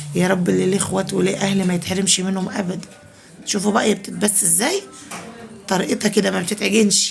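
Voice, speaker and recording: Over music in the background, a soft-spoken woman with an Egyptian accent talks at a fairly quick pace, her medium-pitched voice set in monotone, flat intonation. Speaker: home cooking vlogger. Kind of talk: cooking tutorial. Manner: soft-spoken, lowered voice.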